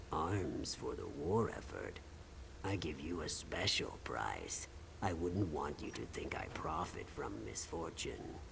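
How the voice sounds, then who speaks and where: Against loud background noise, a man speaks at a fairly slow pace in a put-on character voice. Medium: game stream. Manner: dry, knowing.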